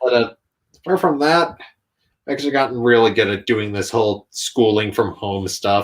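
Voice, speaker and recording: Speaking at a moderate pace, the man has an ordinary speaking voice and ordinary pitch variation. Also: medium pitch for a man, very clean recording, silent background. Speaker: YouTube content creator and toy customizer. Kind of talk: casual interview chat. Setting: live stream.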